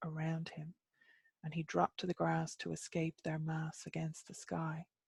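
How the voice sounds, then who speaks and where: In an Irish accent, a woman speaks at a very deep, low pitch. Her voice is somewhat breathy. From Ireland. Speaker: storyteller. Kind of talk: myth storytelling reading.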